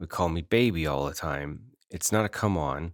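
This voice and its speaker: A man's very deep, low voice with an American accent and ordinary pitch variation. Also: very clean recording, silent background. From northern US. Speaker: podcast host. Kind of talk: personal storytelling. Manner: conversational with fillers.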